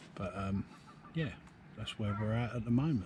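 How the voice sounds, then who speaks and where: A man speaks with an English accent. He is soft-spoken and somewhat breathy. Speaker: fishing vlogger. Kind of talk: casual vlog commentary. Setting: outdoors.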